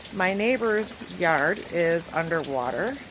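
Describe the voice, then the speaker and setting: A woman talks with lively intonation while noticeable background noise is heard. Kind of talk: casual narration of home video. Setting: outdoors.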